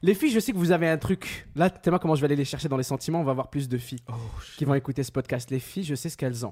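A man with a slight Quebec accent, fairly high pitch and a somewhat breathy, animated tone, at a very fast pace with ordinary pitch variation and big swings in loudness. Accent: mild Quebec French. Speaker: podcast host. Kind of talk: casual chat.

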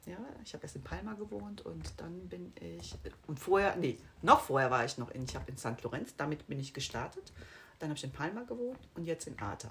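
Very deep, low female voice at a fairly quick pace, with very wide pitch swings and big swings in loudness. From Rhineland, Germany (Bonn). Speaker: real estate sales consultant. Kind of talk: casual interview. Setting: in person with host. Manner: fast.

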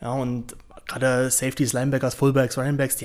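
The man talks very fast. His pitch sits in the medium range. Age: 20s. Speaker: former American football player and pundit. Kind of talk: podcast interview.

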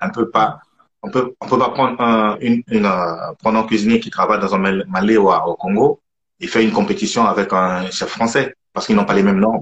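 An ordinary speaking voice: a man at medium pitch, talking at a fairly quick pace with ordinary pitch variation. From southern France, Toulouse. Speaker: chef. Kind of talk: casual chat.

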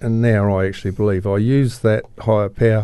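A man with a New Zealand accent speaks at a moderate pace in a fairly low, dark, mellow voice with fairly even intonation. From New Zealand, Christchurch. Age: 60s. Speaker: recovering alcoholic. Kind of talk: personal testimony interview. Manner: halting, many fillers.

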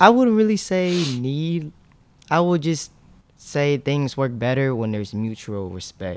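A man speaks in a fairly high pitch with very wide pitch swings. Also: fairly slow pace. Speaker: clothing brand founder and sneaker reseller. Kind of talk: casual interview chat.

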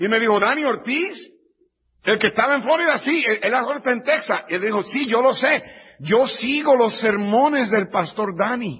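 At a moderate pace, a man with an extremely high pitch speaks with lively intonation. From Puerto Rico. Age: 50s. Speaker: pastor. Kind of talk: sermon. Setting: church.

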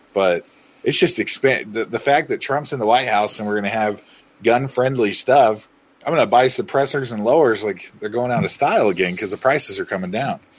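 A man at medium pitch has an ordinary speaking voice with ordinary pitch variation. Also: fairly quick pace. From Oregon. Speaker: podcast co-host. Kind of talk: casual chat.

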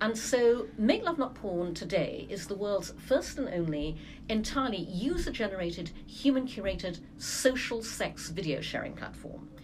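A woman at a moderate pace with lively intonation and audible room echo. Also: medium pitch for a woman, hardly any pauses. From Brunei, English family. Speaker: entrepreneur, advertising executive. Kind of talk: casual interview.

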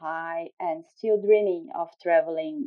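A woman's fairly low voice with a Brazilian accent, fairly slow pace and ordinary pitch variation. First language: Portuguese. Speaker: scientist, youth summit delegate. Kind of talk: casual chat. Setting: video call.

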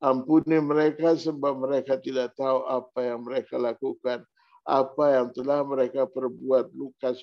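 Dark and mellow, a man's voice stays monotone with flat intonation and hardly any pauses. The sound is dry and close with no echo. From Maluku (Ambonese). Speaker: pastor. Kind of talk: sermon.

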